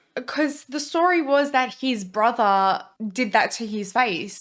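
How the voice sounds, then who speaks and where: High-pitched woman with an Australian accent and lively intonation, on a very clean recording with a silent background. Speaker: reaction video co-host. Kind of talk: casual chat.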